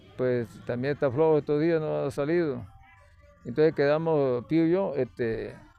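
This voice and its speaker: Over music in the background, a man talks at a fairly slow pace in a fairly high pitch with ordinary pitch variation. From Venezuelan Andes (Mérida). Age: 60s. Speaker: retired teacher. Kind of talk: interview.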